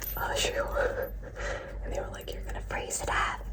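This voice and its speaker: Noticeable background noise surrounds a soft-spoken, whispering voice. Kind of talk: casual talk to camera, ASMR show-and-tell. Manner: whispered, soft-spoken.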